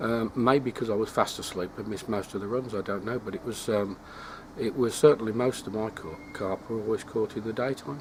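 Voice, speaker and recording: In an English accent, a man speaks at a fairly quick pace with a fairly low pitch and ordinary pitch variation. Noticeable background noise is present. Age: 60s. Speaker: carp angling vlogger. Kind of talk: casual vlog monologue. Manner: hesitant, many fillers.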